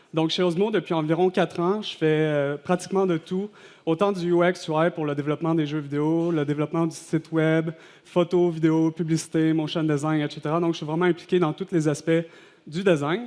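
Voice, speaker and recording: At a fairly quick pace, a man with a Quebec accent talks in a monotone, flat intonation with a fairly high pitch. The recording is very clean, with a silent background. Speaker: designer giving a conference talk. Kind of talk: conference presentation. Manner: hesitant, many fillers.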